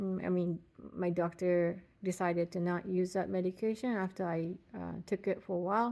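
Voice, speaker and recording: A woman with a non-native accent at a fairly slow pace, on a very clean recording against a silent background. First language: not English. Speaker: patient vlogger. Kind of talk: casual personal vlog. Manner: halting, many fillers.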